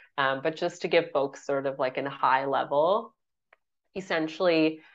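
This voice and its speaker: Speaking fairly slowly with fairly even intonation, a woman has a very deep, low voice over a quiet background. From Canada. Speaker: author and period educator. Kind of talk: interview.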